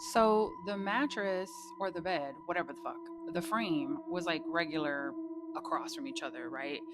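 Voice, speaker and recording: Music plays in the background and audible room echo surrounds a woman speaking at a moderate pace. Her medium pitch moves in very wide swings. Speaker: storyteller. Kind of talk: casual storytelling. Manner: animated.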